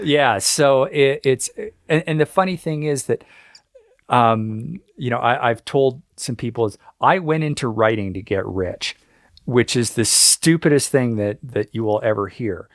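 A man with a Canadian accent and a normal speaking voice talks at a fairly slow pace. His medium-pitched delivery has lively intonation, and the sound is dry and close with no echo. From Canada. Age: 50s. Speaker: author and history writer. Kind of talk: interview.

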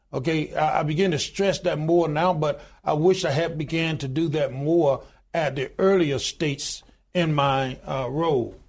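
A man with an Alabama accent speaks at a moderate pace. His pitch sits fairly high, and his intonation stays fairly even. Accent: Southern US (Alabama). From US South, Alabama. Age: 60s. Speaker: union leader and pastor. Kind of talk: interview.

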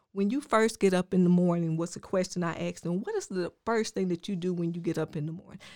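In a Southern US accent, a woman with a fairly low pitch and a dark, mellow tone talks at a very fast pace with hardly any pauses. Her intonation is fairly even, and the recording is very clean with a silent background. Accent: Southern US (Georgia). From rural Georgia, US South. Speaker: life coach. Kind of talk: casual interview.

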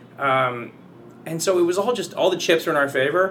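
Against noticeable background noise, a man with an American accent and a high pitch speaks at a very fast pace. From US West Coast, San Jose area, California. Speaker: stage actor. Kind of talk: casual chat. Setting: studio.

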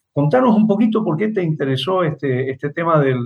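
A man's fairly high-pitched, unremarkable speaking voice. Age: 60s. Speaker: radio host, theatre critic. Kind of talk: interview. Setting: radio, remote call with guest.

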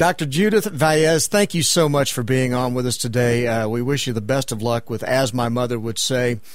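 A man talks at a moderate pace with hardly any pauses. His medium-pitched delivery has ordinary pitch variation and a plain, everyday voice. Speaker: radio host. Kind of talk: interview.

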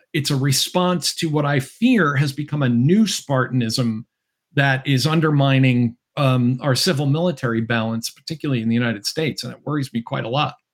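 A man with an American accent and a plain, everyday voice, medium in pitch with ordinary pitch variation, at a fairly quick pace. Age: 60s. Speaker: political scientist and author. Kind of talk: interview. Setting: video call.

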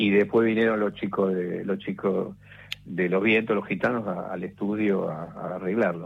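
At a moderate pace, a man speaks in a flat monotone. His pitch is fairly low. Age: 60s. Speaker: radio director and former DJ. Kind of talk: radio interview.

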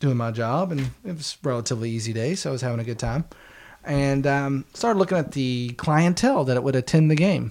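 An ordinary speaking voice from a man, fairly high in pitch and at a fairly quick pace. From West Virginia, Charleston. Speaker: sports podcast co-host. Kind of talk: casual chat.

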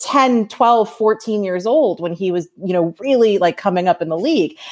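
With an American accent, a woman speaks at a moderate pace in an unremarkable speaking voice with a fairly high pitch. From New York. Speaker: sports writer and author. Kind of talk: casual chat.

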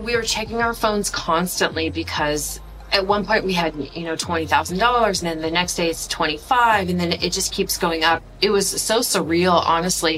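Noticeable background noise sits behind a woman with a fairly low voice. She talks at a moderate pace with ordinary pitch variation. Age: 30s. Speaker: business professor, crypto investor. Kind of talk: personal testimony.

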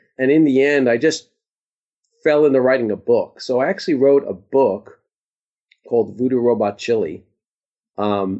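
This man has a New York accent and a medium pitch. He talks at a fairly quick pace with lively intonation. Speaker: author. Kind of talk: interview. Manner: halting.

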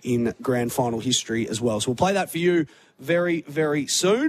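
Speaking with an Australian accent, a man moves at a moderate pace. His fairly high voice carries lively intonation. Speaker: sports radio host. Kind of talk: live sports radio talkback. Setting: radio studio at a public venue.

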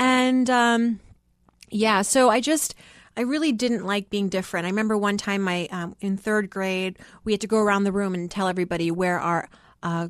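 Against a quiet background, a woman with an American accent talks at a fairly quick pace, her medium pitch showing ordinary variation. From Worcester, Massachusetts, US. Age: 30s. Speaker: podcast host and finance author. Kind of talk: interview conversation.

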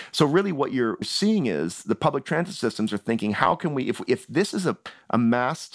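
A man with a Canadian accent speaks at a moderate pace, with very wide pitch swings and vocal fry. The recording is very clean with a silent background, the sound dry and close with no echo. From Canada, Toronto. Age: 40s. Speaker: writer. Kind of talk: interview.

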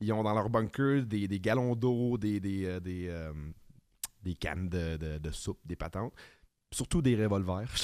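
In a Quebec accent, a man with a fairly low pitch talks at a fairly slow pace with ordinary pitch variation and long, frequent pauses, on a very clean recording with a silent background. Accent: Québécois French. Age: 30s. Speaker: podcast co-host. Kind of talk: casual chat.

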